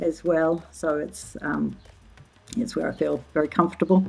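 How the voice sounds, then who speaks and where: A woman with a New Zealand accent speaks at a moderate pace and a fairly low pitch, with noticeable background noise behind her. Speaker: social anthropologist. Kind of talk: interview conversation. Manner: halting, many fillers.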